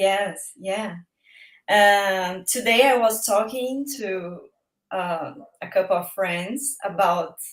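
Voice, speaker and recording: Very slow in pace, the speech comes in a Brazilian Portuguese accent with ordinary pitch variation. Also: woman, medium pitch for a woman. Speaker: guest. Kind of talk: casual chat. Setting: live-stream video call. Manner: halting.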